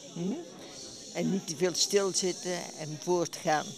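A woman speaks very slowly at a fairly low pitch, her intonation fairly even. The sound is dry with no echo, though there is noticeable background noise. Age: 80s+. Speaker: bridge player. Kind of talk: interview answer. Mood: cheerful, pleased. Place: hall. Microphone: handheld.

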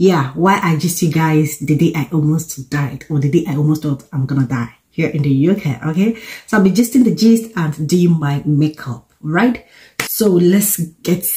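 A woman speaks with a very deep, low pitch at a moderate pace. Her intonation is lively. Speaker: vlogger. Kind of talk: casual vlog chat. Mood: cheerful, chatty. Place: home room. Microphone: phone near.

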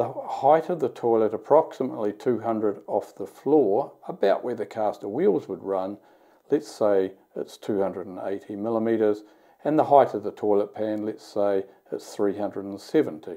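Moderately paced speech from a man with a fairly low pitch, a dark, mellow tone and ordinary pitch variation, over a quiet background. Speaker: company executive demonstrating app. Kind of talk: tutorial. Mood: calm, explanatory. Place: bathroom.

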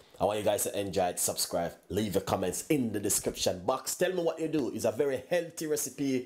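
A man at a fairly quick pace, hardly any pauses, over a quiet background. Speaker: cooking show host. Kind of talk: cooking tutorial chat. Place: kitchen.

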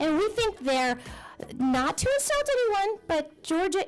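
A woman talks at a moderate pace. There is music in the background. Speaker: public speaker. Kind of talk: public testimony with puppet play. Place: hall. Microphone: podium.

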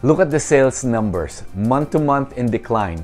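Faint music sits in the background. A man talks at a moderate pace. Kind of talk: market commentary. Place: studio. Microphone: lapel.

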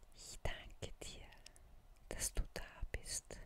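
A whisper at a very slow pace. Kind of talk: ASMR affirmations for sleep. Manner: soft-spoken.

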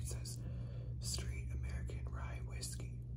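Loud background noise fills the clip. Over it, a man speaks very slowly. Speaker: ASMR vlogger. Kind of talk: ASMR bottle tapping, casual talk to camera. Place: home room. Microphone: phone near.

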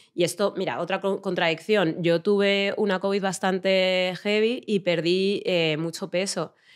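An unremarkable speaking voice from a woman, medium in pitch, fairly slow in pace, with fairly even intonation. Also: hardly any pauses. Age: 40s. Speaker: journalist and activist. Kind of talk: casual chat.

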